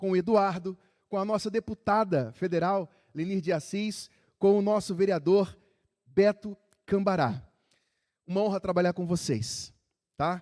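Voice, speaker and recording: At a fairly slow pace with long, frequent pauses, a man speaks with a high pitch and ordinary pitch variation, on a very clean recording with a silent background and a dry, close sound with no echo. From Rio de Janeiro, Brazil. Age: 40s. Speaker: city council president. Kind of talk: formal ceremonial speech. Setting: council chamber with audience.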